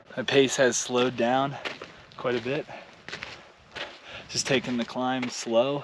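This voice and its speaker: Noticeable background noise sits under a man speaking at a fairly slow pace with long, frequent pauses. His medium-pitched delivery stays monotone and flat. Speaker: hiking vlogger. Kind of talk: outdoor vlog narration. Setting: outdoors on a mountain trail. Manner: casual.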